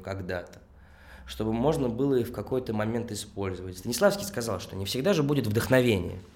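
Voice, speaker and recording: A man talks with lively intonation. There is audible echo from the room. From Russia, Tolyatti. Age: 20s. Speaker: actor and theatre director. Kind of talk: interview conversation.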